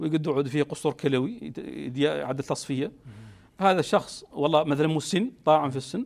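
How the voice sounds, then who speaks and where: Fairly high male voice, moderate in pace, ordinary in its pitch variation. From Mauritania. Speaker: physician, district chief medical officer; guest. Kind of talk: TV interview. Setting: TV studio. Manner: halting, with repetitions. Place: studio.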